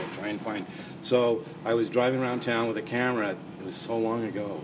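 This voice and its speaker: A man's medium-pitched voice with a Canadian accent, a fairly quick pace, ordinary pitch variation, noticeable background noise, and audible room echo. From Montreal, Canada. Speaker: crime author and anthology editor. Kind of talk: interview.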